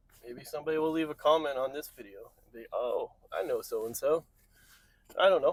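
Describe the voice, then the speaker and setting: A man with an American accent, mumbling at a fairly quick pace with big swings in loudness, in a dry, close sound with no echo. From New England. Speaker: vlogger. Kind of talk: casual vlog. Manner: rambling.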